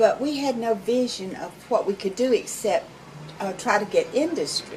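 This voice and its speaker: A woman with a Southern accent talks at a moderate pace and a fairly high pitch with lively intonation, amid noticeable background noise. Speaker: community arts organizer. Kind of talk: interview. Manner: hesitant fillers.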